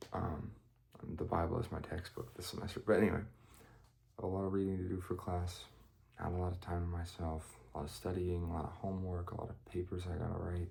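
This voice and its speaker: This man's very deep, low voice is somewhat breathy, moving at a fairly quick pace with fairly even intonation amid audible room echo. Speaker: student vlogger. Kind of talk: casual vlog. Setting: at home, others asleep. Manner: hesitant, many fillers; higher pitched than usual.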